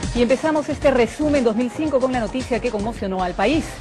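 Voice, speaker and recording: With music in the background, a woman speaks at a very fast pace in a high voice. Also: ordinary pitch variation. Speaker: TV news anchor. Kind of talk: TV news read.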